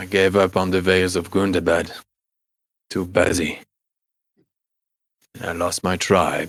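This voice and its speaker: In a put-on character voice, a man speaks at a fairly slow pace with a very deep, low pitch on a very clean recording with a silent background. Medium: actual play. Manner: brooding, halting.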